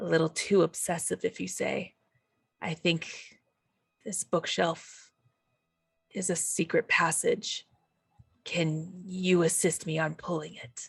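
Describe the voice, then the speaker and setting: This raspy put-on character voice sits at a middle pitch and moves at a fairly slow pace with long, frequent pauses. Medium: actual play. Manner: probing, measured.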